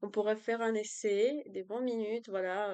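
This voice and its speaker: A woman with a Spanish accent speaks at a fairly slow pace in a fairly high voice, her sound dry and close with no echo against a quiet background. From Colombia. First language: Spanish (speaking French). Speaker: language tutor and student. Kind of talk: self-introduction video. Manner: hesitant, many fillers.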